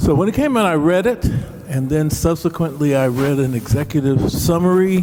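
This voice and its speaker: There is noticeable background noise as a man speaks at a moderate pace. His fairly high pitch carries lively intonation at very even loudness. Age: 70s. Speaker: panelist. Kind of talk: panel discussion. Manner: animated.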